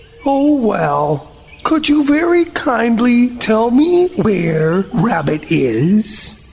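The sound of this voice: Over clear background noise, a female-sounding voice puts on a growling character voice, fairly high in pitch, swinging very widely in pitch at a very slow pace.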